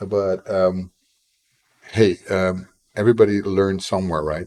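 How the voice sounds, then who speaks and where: A man's dark, mellow voice, dry and close with no echo. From Netherlands. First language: Dutch. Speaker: indie game developer and streamer. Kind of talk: live stream chat while coding.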